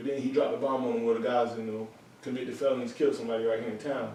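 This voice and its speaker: A man of medium pitch talks at a very fast pace, with audible room echo around him. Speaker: brewery worker, former gang member. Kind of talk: casual interview conversation. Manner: fast, words run together; animated.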